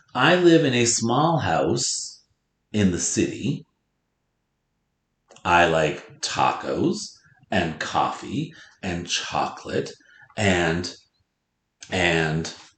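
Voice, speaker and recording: A man with an American accent at a very slow pace, long, frequent pauses, and audible room echo. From North Dakota, US Upper Midwest. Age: 40s. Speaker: elementary school teacher. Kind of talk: lesson with read-aloud for pupils. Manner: loud.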